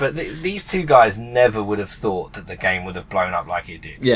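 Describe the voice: This voice has a British accent, a moderate pace, very wide pitch swings and big swings in loudness. Noticeable background noise can be heard. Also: man, medium pitch for a man.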